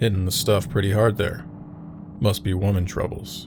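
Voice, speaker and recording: Over clear background noise, a man puts on a booming character voice at a fairly low pitch and a moderate pace. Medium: audio drama. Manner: gruff, measured.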